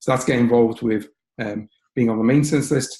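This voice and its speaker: Dark, mellow tone with fairly even intonation, in a Liverpool accent. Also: man. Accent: Liverpool (Scouse) English. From northern England, Liverpool. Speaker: software training lesson developer, HPC researcher. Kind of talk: webinar presentation. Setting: online webinar. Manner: fast.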